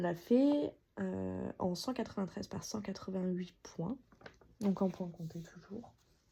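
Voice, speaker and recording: A woman's somewhat breathy voice, dark and mellow in tone, with lively intonation at a very slow pace. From France, Alsace. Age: 30s. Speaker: cross-stitch YouTuber. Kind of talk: casual craft progress video. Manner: hesitant with many fillers.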